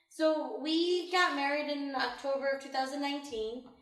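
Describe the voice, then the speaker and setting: With an American accent, a woman speaks at a fairly slow pace in a high pitch with fairly even intonation. Audible room echo fills the recording. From Illinois. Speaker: homeowner, women's center worker. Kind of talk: interview. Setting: at home.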